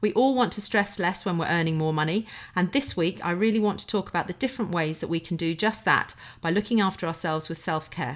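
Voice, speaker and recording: A woman does a croaky put-on character voice at a medium pitch. She talks at a very fast pace. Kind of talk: podcast host intro.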